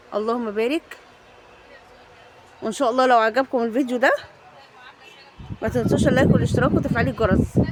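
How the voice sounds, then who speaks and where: A woman talks at a fairly quick pace and a fairly high pitch, with long, frequent pauses. Noticeable background noise runs under her voice. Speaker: shopping vlogger. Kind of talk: casual vlog. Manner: animated.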